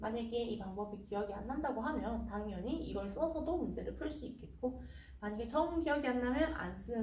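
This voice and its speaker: Amid audible room echo and noticeable background noise, a woman speaks fairly quickly at a fairly high pitch with ordinary pitch variation. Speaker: math tutor. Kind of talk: tutorial.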